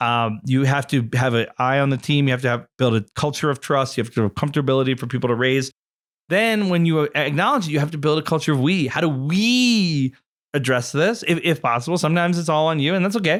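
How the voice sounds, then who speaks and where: Speaking at a very fast pace, a man with a fairly high pitch sounds energetic, his intonation lively, on a very clean recording with a silent background. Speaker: podcast co-host, marketer. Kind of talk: casual discussion. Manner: fast-talking; energetic, loud.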